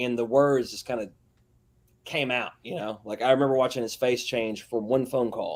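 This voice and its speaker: A man with a strong Southern US accent talks at a fairly quick pace and a medium pitch. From US South. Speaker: metal band vocalist. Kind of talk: interview. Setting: live broadcast show. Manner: casual, halting.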